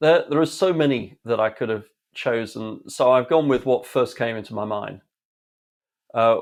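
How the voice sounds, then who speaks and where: In a very clean recording with a silent background, a speaker with an English accent goes at a moderate pace, with ordinary pitch variation and long, frequent pauses. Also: man, medium pitch for a man. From England. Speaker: leadership speaker and author. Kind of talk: interview. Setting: home studio.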